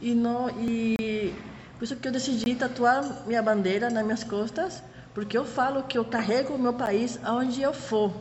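Speech in a Spanish accent at a fairly slow pace, with ordinary pitch variation, audible room echo and noticeable background noise. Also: woman. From Panama City area, Panama. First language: Spanish (speaking Portuguese). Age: 30s. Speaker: tour guide. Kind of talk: interview.

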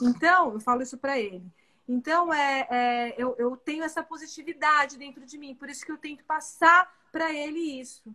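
Speaking at a moderate pace in a raised, projected voice, a woman with a high pitch and a bright, sharp tone shows ordinary pitch variation and big swings in loudness. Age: 40s. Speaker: physician. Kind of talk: casual chat.

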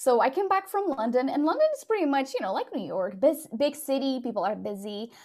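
A woman's high voice with a Portuguese accent, very wide pitch swings, a fairly quick pace and hardly any pauses, over noticeable background noise. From Portugal. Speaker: podcast company founder. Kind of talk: casual interview chat.

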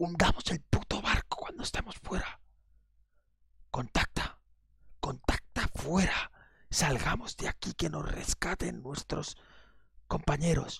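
A put-on character voice sounds raspy and moves at a fairly slow pace. Long pauses come often. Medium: actual play. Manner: urgent, curt, profane.

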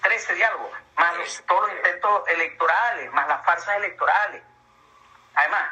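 Noticeable background noise surrounds a man who speaks at a very fast pace. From Venezuela, Ciudad Bolívar. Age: 60s. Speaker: engineer and Venezuelan emigrant. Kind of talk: interview.

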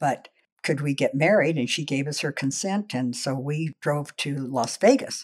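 Recorded very cleanly against a silent background, a woman with a General American accent speaks at a moderate pace in a very deep, low pitch with ordinary pitch variation. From Los Angeles area, US. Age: 70s. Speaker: life story interviewee. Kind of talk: casual interview, personal life story. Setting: her home.

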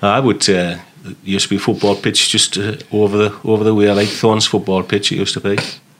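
Over noticeable background noise, a man speaks very fast in a fairly low pitch. His intonation is monotone and flat. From northeast England, Sunderland. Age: 50s. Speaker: army veteran. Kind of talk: casual chat.

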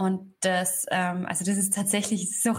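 At a fairly slow pace, a woman speaks in a medium-pitched voice with monotone, flat intonation. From Upper Austria, rural. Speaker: author. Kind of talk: interview.

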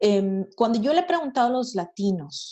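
Somewhat breathy delivery with lively intonation at a fairly slow pace. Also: woman. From Monterrey, northern Mexico. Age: young. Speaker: entrepreneur. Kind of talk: interview. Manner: hesitant with repetitions.

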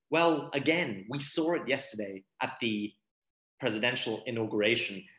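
Speaking fairly slowly, a man uses an ordinary speaking voice with lively intonation. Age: 30s. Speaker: art gallerist and human rights activist. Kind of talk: interview conversation.

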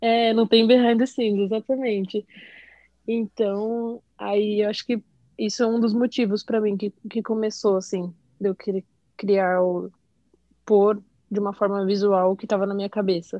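A woman's medium-pitched voice, monotone and flat, broken by long, frequent pauses. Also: moderate pace. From São Paulo, Brazil. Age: 20s. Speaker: graphic designer. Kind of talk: casual chat.

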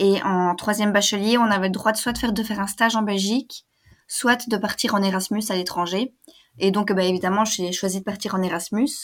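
A woman speaks in a normal speaking voice at a fairly quick pace, her medium pitch moving with fairly even intonation. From Belgium. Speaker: language student, travel guest. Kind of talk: casual interview.

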